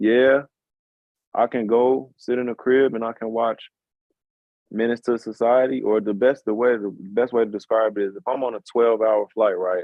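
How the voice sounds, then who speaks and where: A man with a Southern US accent speaks at medium pitch. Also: fairly even intonation. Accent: Southern drawl. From Chicago. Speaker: musician. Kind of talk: casual chat.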